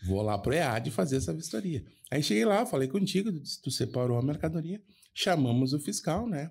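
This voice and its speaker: A man's fairly high, somewhat breathy voice with a dark, mellow tone, lively intonation and a moderate pace on a very clean recording with a silent background. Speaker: podcast co-host, foreign trade professional. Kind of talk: casual chat, anecdote telling.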